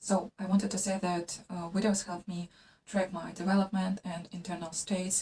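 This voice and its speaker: A woman's somewhat breathy, dark, mellow voice at a medium pitch and a moderate pace, with a non-native accent. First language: not English. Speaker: vlogger and artist. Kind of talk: casual vlog monologue. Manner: halting, many fillers.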